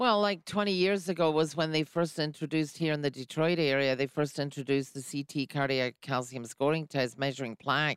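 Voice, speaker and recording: In a British accent, a woman with a very deep, low pitch talks at a fairly quick pace with hardly any pauses, the sound dry and close with no echo in a very clean recording with a silent background. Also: ordinary pitch variation. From UK. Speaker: radio host. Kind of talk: radio interview. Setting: studio.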